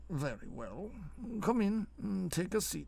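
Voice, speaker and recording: A man puts on a raspy, high-pitched character voice. He delivers it at a fairly slow pace. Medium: read story. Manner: prim, nervous.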